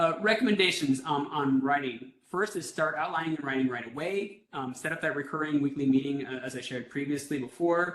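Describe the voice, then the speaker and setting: A man speaks at a fairly quick pace with hardly any pauses. His pitch is fairly high, with ordinary variation. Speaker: workshop presenter on grant writing. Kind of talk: webinar training presentation. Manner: fast; rushed, many fillers and restarts.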